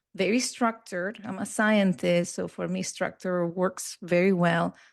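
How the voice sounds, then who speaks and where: Against a quiet background, the speaker talks with a Spanish accent at a fairly slow pace and with fairly even intonation. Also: woman, medium pitch for a woman. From Peru, raised in Barcelona, Spain. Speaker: hypnotherapist and NLP trainer. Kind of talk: interview conversation.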